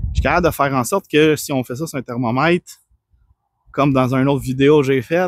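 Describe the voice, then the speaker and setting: Ordinary pitch variation at a fairly quick pace, with a dry, close sound and no echo. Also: man. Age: 30s. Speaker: personal trainer. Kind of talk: personal testimony. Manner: calm.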